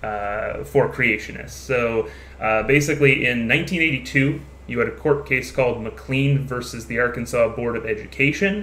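The pace of the speech is fairly slow. Background noise is noticeable. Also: man. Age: 20s. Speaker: podcast host. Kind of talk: casual chat.

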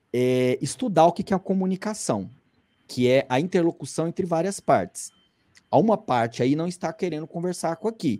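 With a Goiás accent, the speaker talks at a moderate pace. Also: quiet background. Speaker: climbing magazine editor; podcast guest. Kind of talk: casual commentary. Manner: conversational, with many fillers. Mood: earnest, persuasive. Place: home room. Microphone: video call.

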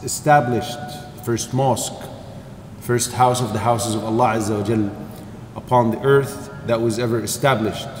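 With light background noise and audible room echo, a man speaks at a moderate pace with fairly even intonation. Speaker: religious teacher. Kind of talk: lecture. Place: church. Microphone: podium.

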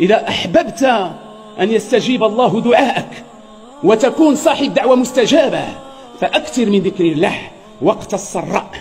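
Faint music plays behind a man who speaks at a fairly slow pace with long, frequent pauses. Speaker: preacher. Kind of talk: sermon. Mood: stern, admonishing. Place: church. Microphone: podium.

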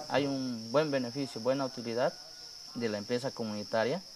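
A man is talking. His pace is moderate. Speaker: schoolteacher. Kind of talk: documentary interview.

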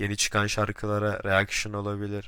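The voice has a bright, sharp tone and monotone, flat intonation at a moderate pace. The recording is very clean, with a silent background. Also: man. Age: young. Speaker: gaming YouTuber. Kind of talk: vlog self-introduction. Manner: hesitant, with filler sounds.

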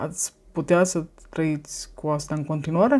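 A woman talks in a dark, mellow tone. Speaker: vlogger. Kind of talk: casual monologue vlog. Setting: filmed at home on a tablet. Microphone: phone near.

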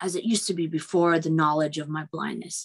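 A female speaker over a quiet backdrop. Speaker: bioengineering professor, speaker. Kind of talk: public talk, conversational lecture. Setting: virtual event video call. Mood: earnest, reflective. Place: home room. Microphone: video call.

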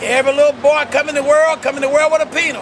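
Over light background noise, a man talks at an extremely high pitch. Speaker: street preacher. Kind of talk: street preaching sermon. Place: street. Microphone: phone near.

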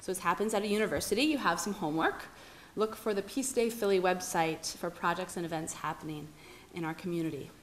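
Over light background noise, a woman talks at a fairly quick pace with ordinary pitch variation. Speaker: event host introducing speaker. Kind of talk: formal introduction speech. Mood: warm, lightly humorous. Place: hall. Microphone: podium.

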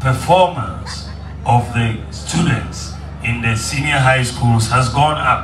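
A man speaks at a very slow pace with ordinary pitch variation. Noticeable background noise sits behind him. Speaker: politician at campaign rally. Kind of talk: campaign speech. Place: open country.

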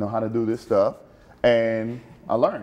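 The man speaks at a fairly slow pace. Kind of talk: interview answer. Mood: friendly, laughing. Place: studio. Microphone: lapel.

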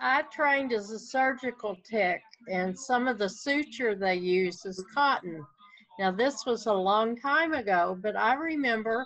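A woman speaks at a fairly slow pace with a Southern US accent. Her pitch rises and falls in an ordinary way. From US South. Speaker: hobby stitcher. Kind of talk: casual chat. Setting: video call. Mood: relaxed, friendly. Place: home room. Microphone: video call.

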